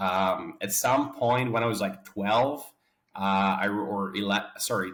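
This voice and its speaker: Over audible room echo, a man speaks at a very slow pace, his fairly low voice carrying fairly even intonation. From Poland. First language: Polish. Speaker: game studio founder and CEO. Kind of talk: interview. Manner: halting.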